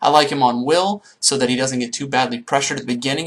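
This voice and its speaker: This is a man speaking. His intonation is lively. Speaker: gaming youtuber. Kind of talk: tutorial. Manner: fast.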